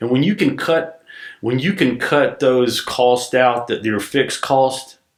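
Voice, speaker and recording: Fairly slow and with a Southern US accent, a man speaks. His pitch is medium, with ordinary pitch variation. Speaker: business owner. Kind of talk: podcast interview.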